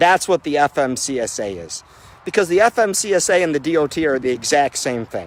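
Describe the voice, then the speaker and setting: A man with an American accent speaks at a moderate pace in an animated tone, his intonation lively and the sound dry and close with no echo. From US South, Mississippi (Biloxi). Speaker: owner-operator truck driver. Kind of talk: impassioned speech. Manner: loud.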